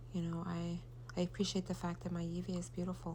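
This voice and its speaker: The room echo is audible as a woman speaks. Her pace is fairly quick. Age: 40s. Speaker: mother vlogger. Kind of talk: gratitude monologue. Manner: halting.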